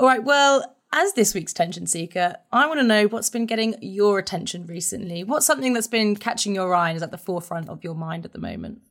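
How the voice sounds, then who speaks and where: A woman speaks with a plain, everyday voice at a medium pitch, using lively intonation and a fairly quick pace with hardly any pauses. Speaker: podcast host and reporter. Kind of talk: casual interview.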